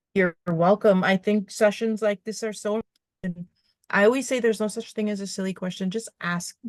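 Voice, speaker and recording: An ordinary speaking voice moves at a fairly quick pace with fairly even intonation and a dry, close sound with no echo. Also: woman, medium pitch for a woman. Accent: Canadian. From Canadian prairies (Treaty 5 territory). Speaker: herbalist. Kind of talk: online workshop Q&A. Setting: video call.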